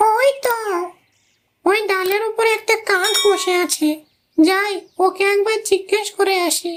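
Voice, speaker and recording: A cartoonish character voice at an extremely high pitch talks at a moderate pace. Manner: polite, pleading.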